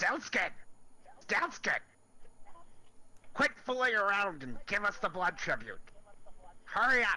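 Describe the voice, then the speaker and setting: In a loud, put-on character voice, a man speaks high with very wide pitch swings at a fairly slow pace, leaving long, frequent pauses. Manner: impatient, demanding.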